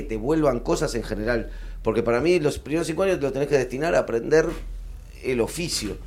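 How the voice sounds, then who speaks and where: With audible room echo around him, a man talks at a fairly quick pace. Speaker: stand-up comedian. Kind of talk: panel discussion. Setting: stage with live audience.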